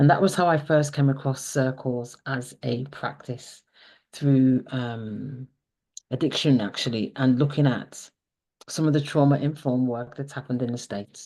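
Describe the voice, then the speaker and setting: This dark, mellow voice comes with a slight Scouse accent and fairly even intonation at a moderate pace. The background is quiet. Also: woman, very deep, low pitch for a woman. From Liverpool, England. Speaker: counsellor and circle facilitator. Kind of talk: testimony.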